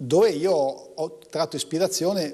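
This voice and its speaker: Over a quiet background, a man with a northern Italian accent speaks in a dark, mellow tone with vocal fry and lively intonation. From northern Italy, Como; northern Italy. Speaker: economics professor and poet; economics professor, poet. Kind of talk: TV interview. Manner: halting, many restarts. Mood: calm, reflective, warm. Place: studio.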